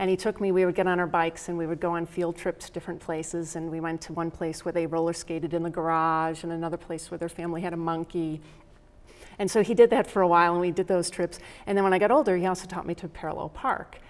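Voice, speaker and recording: In a Rochester accent, a woman talks at a very fast pace with a fairly low pitch and fairly even intonation. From upstate New York, Rochester. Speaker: professor. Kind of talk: interview.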